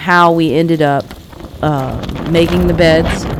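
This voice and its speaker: A woman speaks with a very deep, low pitch. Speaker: gardening youtuber. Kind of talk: casual video update.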